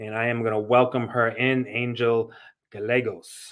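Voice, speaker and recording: A man in a Massachusetts accent, medium pitch, very slow pace and monotone, flat intonation. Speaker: podcast host. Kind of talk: interview.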